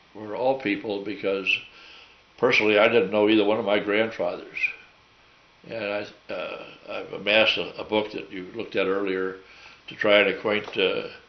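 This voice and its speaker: Someone with an American accent speaks at a moderate pace, with long, frequent pauses and big swings in loudness. The recording has audible room echo and noticeable background noise. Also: man. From US Midwest, St. Louis. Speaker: war veteran. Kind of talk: oral history interview. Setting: at home. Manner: halting.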